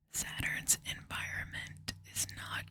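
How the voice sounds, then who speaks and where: The speech is whispered and very slow. Noise in the background is noticeable. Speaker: ASMR creator. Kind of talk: ASMR whispered reading. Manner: whispered, soft-spoken.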